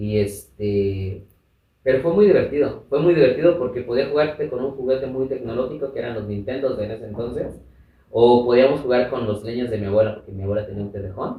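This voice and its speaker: A man talks at a fairly quick pace, his loudness swinging widely. His pitch varies in an ordinary way, and the room adds audible echo. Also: medium pitch for a man. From Mexico, Chiapas and Mexico City. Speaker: activist and radio presenter. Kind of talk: interview, life story.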